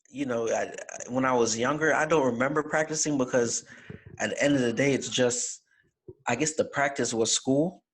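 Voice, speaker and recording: The speaker has an American accent and a moderate pace. Intonation stays fairly even. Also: man, fairly high pitch for a man. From Jamaica. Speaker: fraternity chapter officer, college student. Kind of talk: casual interview. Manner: halting, many restarts.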